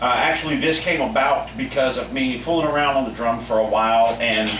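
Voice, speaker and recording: A man talks in a space with audible room echo, with noticeable background noise present as well. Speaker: drum teacher. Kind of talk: tutorial. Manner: casual, halting with fillers.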